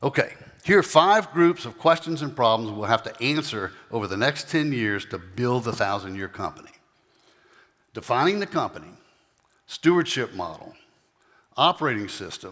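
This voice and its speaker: A man talks at a moderate pace and a medium pitch. His pitch swings very widely. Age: 60s. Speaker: company CEO. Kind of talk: keynote talk.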